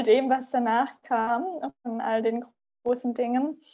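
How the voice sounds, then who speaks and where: The woman speaks in a high voice with a fairly even intonation. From small conservative town in Germany. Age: 30s. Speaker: podcast guest. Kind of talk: casual interview. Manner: hesitant with many fillers.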